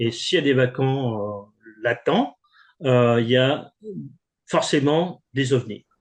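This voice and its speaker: A man's voice at medium pitch, very slow pace, long and frequent pauses, and ordinary pitch variation. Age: 60s. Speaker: composer and author. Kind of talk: interview. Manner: halting.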